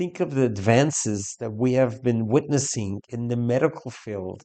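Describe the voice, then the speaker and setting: Here a man with an American accent talks at a moderate pace and medium pitch. He has an ordinary speaking voice with ordinary pitch variation. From US Northeast, New York. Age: 60s. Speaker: rabbi. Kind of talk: commentary talk / testimony.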